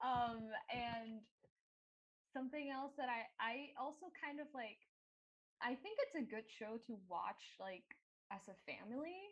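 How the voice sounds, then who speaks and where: A woman with a non-native accent talks at a fairly slow pace, pitched high with lively intonation. She leaves long, frequent pauses. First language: not English. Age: adult. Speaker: animation production staff. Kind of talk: panel discussion. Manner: halting.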